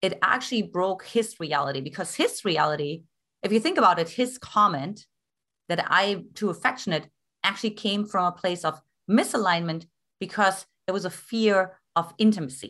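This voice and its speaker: Lively intonation marks this woman's speech in a German accent. Her pitch is medium and her tone bright and sharp. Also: moderate pace. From East Germany. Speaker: love coach. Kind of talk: interview.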